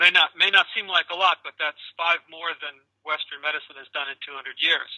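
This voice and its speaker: A man talks at a fairly quick pace with big swings in loudness. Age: 60s. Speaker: caregiver seeking qigong instruction. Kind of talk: video call consultation. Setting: video call. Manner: halting, many fillers and restarts.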